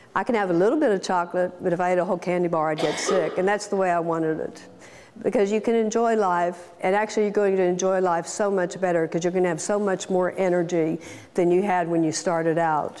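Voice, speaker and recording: Over noticeable background noise, a woman talks at a very fast pace in a medium pitch. Her loudness stays very even and her intonation fairly even. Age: 60s. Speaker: weight loss surgery patient. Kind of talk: testimony.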